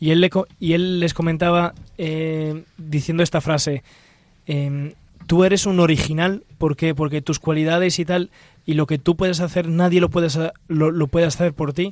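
Speaking at a moderate pace, a man uses a fairly high pitch and flat, monotone intonation. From Italy. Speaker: religious brother. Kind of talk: radio discussion. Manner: halting.

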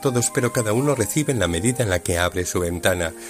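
There is music in the background. A man speaks over it at a fairly quick pace. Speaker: priest. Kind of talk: homily storytelling, radio reflection retelling a parable-like story then applying it. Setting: radio broadcast. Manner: warm, measured storytelling pace with dialogue retold in reported speech; earnest, exhortative, pastoral tone in the closing application.

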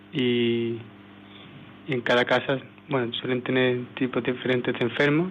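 A man of medium pitch with an Andalusian accent, at a fairly slow pace. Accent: Andalusian (Seville) Spanish. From Seville, Spain. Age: 20s. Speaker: missionary volunteer. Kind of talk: testimony. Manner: halting.

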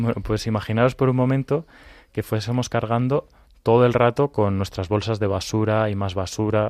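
An unremarkable speaking voice goes at a moderate pace. Its intonation stays fairly even. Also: man. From Madrid, Spain. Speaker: children's ministry volunteer. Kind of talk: children's radio programme.

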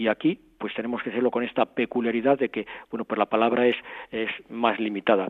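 A man's medium-pitched voice with fairly even intonation at a very fast pace. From Spain, Madrid. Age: 60s. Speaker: archbishop-elect, Franciscan friar. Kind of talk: interview testimony. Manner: halting, with frequent repetitions.

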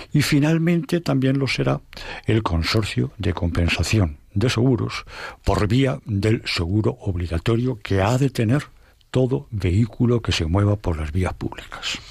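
A man's somewhat breathy voice, fairly low in pitch and fairly slow, with very wide pitch swings, on a very clean recording with a silent background. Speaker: lawyer. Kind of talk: expert discussion.

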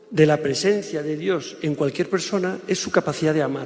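Ordinary pitch variation marks this speech, which proceeds at a moderate pace. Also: man. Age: 50s. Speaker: public speaker. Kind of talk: lecture. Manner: halting.

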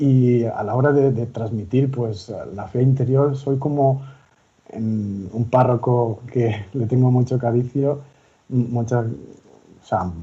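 Speaking very slowly, a man uses a dark, mellow tone that is somewhat breathy, at medium pitch with fairly even intonation. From Valencia region, Spain (near Gandía). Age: 30s. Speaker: lay missionary volunteer. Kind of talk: radio interview. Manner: halting.

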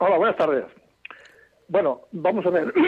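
This is a man talking. His pitch is high. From Granada, Spain. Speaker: caller. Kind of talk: radio call-in.

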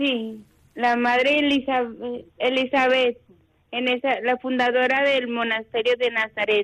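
A woman talks at a very slow pace in a high pitch with monotone, flat intonation and long, frequent pauses. The sound is dry and close with no echo. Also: very even loudness. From Mexico. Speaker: contemplative nun. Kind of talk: phone interview.

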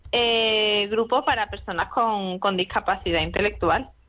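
The pace is moderate and the pitch varies in an ordinary way. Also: woman. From Spain, Madrid. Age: 20s. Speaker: medical student. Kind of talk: radio interview. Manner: halting, repeats words.

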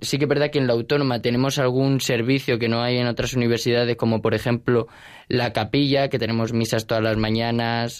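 A man's medium-pitched voice with flat, monotone intonation. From Spain, Alicante. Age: young. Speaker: university student. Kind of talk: radio interview.

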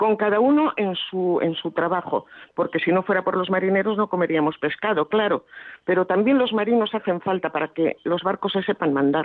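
A woman talks in a normal speaking voice at a medium pitch and a fairly quick pace. Her pitch varies in an ordinary way while her loudness stays very even. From Basque Country, Bilbao. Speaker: radio listener caller. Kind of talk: phone-in call.

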